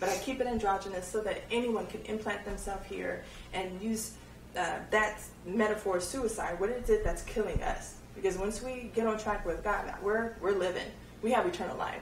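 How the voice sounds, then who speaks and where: Amid noticeable background noise and audible room echo, a woman with a fairly high pitch talks at a moderate pace with ordinary pitch variation. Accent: American. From US, Nigerian Igbo family. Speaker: author. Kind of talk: interview. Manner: halting, many fillers.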